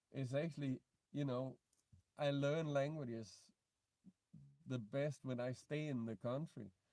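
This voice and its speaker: A man with a Danish accent, fairly high in pitch and dark, mellow in tone, at a fairly slow pace with ordinary pitch variation. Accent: non-native English, Danish. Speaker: vlogger. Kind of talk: live stream Q&A. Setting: in a car. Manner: halting.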